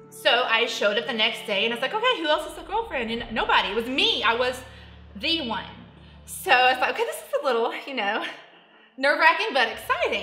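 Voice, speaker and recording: Over audible room echo and noticeable background noise, a woman with an American accent speaks in a raised, projected voice at a fairly quick pace, her high pitch swinging very widely in an animated tone. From Missouri, Cape Girardeau. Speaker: film extra. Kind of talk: interview storytelling.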